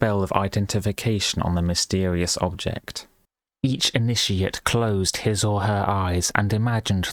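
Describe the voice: Someone does a plain reading aloud over a quiet background.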